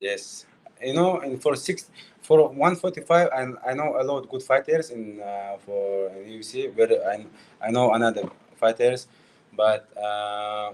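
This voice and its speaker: A man speaks at a medium pitch and a fairly slow pace. His intonation is lively, with big swings in loudness. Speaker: MMA fighter. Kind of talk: interview. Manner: halting.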